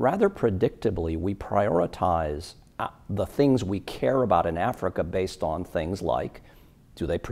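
A man with a very deep, low pitch talks at a moderate pace. His pitch variation is ordinary. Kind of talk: interview answer. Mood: measured, earnest. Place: hall. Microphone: lapel.

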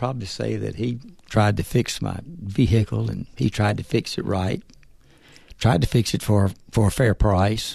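Vocal fry marks speech at a moderate pace with ordinary pitch variation. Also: man, fairly low pitch for a man. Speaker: part-time auto shop manager. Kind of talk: casual interview. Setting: studio.

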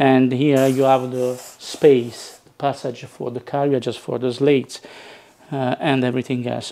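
A dark, mellow tone with little pitch movement. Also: man.

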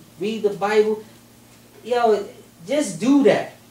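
An animated tone at a fairly slow pace, with audible room echo. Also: man. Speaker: rally speaker. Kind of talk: rally speech, street-preacher style, driving home points with rhetorical questions. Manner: animated, emphatic, repeating "you know what I'm saying?" to pull the crowd in; fired-up, conversational, urgent, building through question after question. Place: hall. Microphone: camera far.

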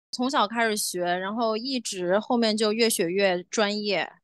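A woman at medium pitch uses an ordinary speaking voice with ordinary pitch variation against a quiet background. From China, Chongqing. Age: 20s. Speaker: choir founder and conductor. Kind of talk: podcast interview.

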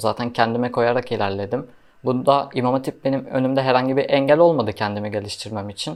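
There's a man here with a medium pitch and a normal speaking voice. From Erzurum, Turkey. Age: 20s. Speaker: university student, imam hatip graduate. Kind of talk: casual Q&A interview.

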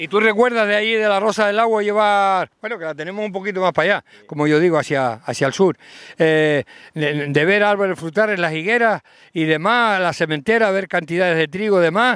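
Here a man speaks fairly quickly in a high pitch with ordinary pitch variation. The sound is dry with no echo, and the background is quiet. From Canary Islands. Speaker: local TV host, interviewer. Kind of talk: casual interview. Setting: outdoors by the sea. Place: open country. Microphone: handheld.

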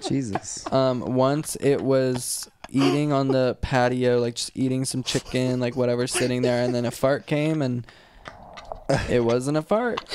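A fairly slow delivery, dry with no echo, against noticeable background noise. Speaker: podcast co-host. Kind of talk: casual chat. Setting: recorded video podcast. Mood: relaxed, joking. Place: home room. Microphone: studio mic.

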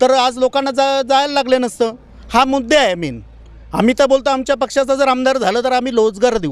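A man talks at an extremely high pitch with ordinary pitch variation. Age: young. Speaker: party worker. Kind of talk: interview.

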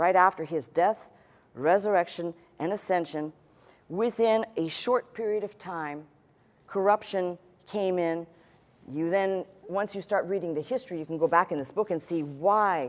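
A woman at a moderate pace, fairly low in pitch with ordinary pitch variation and long, frequent pauses. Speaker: pastor. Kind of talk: sermon. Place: church. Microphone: lapel.

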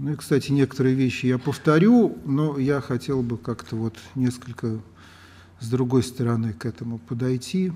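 A man talks at a moderate pace in a dark, mellow tone. His pitch varies in an ordinary way. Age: 60s. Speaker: lecturer. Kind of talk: lecture. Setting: lecture hall with audience. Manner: halting. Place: hall. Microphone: camera far.

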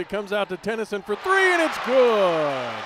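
Over noticeable background noise, a man talks at a fairly quick pace in an animated tone, the sound dry with no echo. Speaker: play-by-play announcer. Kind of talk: live sports commentary, play-by-play of college basketball highlights. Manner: animated, punchy calls on made threes and dunks. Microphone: headset.

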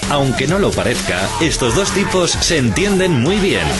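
A man at a fairly slow pace with clear music in the background. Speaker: professional voice actor and radio announcer. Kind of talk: TV channel promo, documentary reality trailer. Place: booth. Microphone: studio mic.

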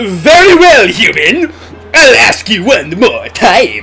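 A man's put-on character voice at an extremely high pitch and a very slow pace, with faint music in the background

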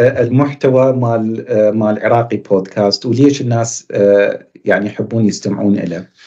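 With an Iraqi accent and a dark, mellow tone, a man speaks with fairly even intonation and hardly any pauses over a quiet background. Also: medium pitch for a man, moderate pace. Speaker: psychiatrist and channel host; podcast guest. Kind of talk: interview. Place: office. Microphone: webcam.

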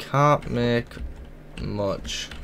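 A man's very slow speech with a fairly bright tone and vocal fry, faint background noise behind it.

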